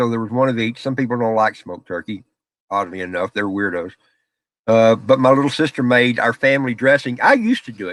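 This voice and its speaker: This very clean recording, with a silent background and a dry, close sound with no echo, carries a Southern US accent spoken very fast with lively intonation. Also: man. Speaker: live streamer. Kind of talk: casual chat. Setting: home office, live stream. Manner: loud.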